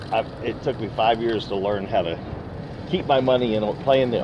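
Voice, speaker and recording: Amid noticeable background noise, a man at medium pitch talks at a moderate pace with ordinary pitch variation. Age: 60s. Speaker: retired oilfield worker giving investment advice. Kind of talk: casual interview chat. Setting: recorded on a phone.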